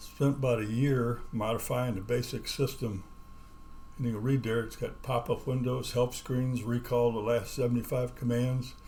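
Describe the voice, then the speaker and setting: With a dark, mellow, somewhat breathy tone, a man speaks at a medium pitch and moderate pace in a monotone, flat intonation. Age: 80s+. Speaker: retired programmer teaching assembly. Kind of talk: tutorial. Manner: casual, halting with fillers.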